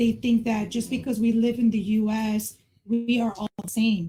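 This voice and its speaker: A woman's fairly high voice with a slight Mexican accent, dark and mellow in tone, at a moderate pace. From Mexico, raised in the US. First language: Spanish. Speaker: community member discussing racial harmony. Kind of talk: podcast panel discussion.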